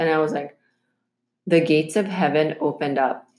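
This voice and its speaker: A woman with an ordinary speaking voice, fairly even intonation and a moderate pace. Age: 40s. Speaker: podcast host and entrepreneur. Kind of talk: casual interview and monologue.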